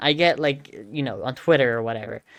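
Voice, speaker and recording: Over a silent background on a very clean recording, a woman with a Southern California accent speaks at a moderate pace with ordinary pitch variation. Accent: Valley girl. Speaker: streamer. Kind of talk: casual commentary. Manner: halting, many fillers.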